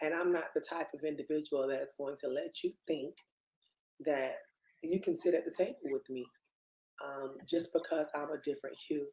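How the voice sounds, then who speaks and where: Pausing often and for long stretches, a woman talks at a medium speed. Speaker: elected city commissioner. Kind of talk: panel discussion. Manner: loud; passionate.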